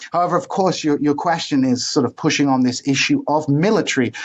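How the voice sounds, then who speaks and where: A man is speaking here. He has a British accent. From United Kingdom, Welsh mother and Iraqi Kurdish father. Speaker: history professor. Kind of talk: interview. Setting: podcast. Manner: halting, many fillers and repetitions.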